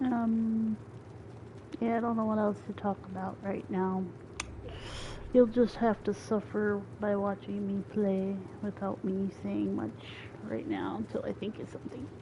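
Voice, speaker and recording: A woman speaks with an American accent at a fairly slow pace, with long, frequent pauses. Noticeable background noise sits under her voice. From rural farming town, US. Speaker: gaming streamer. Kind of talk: casual gameplay commentary. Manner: relaxed, chill; hesitant, many fillers.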